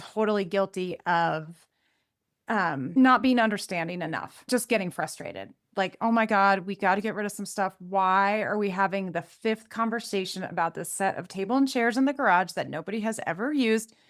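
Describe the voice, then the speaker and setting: A woman with an ordinary speaking voice talks at a medium pitch in a very clean recording with a silent background. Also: ordinary pitch variation, fairly quick pace. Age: 50s. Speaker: podcast host. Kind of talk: casual chat.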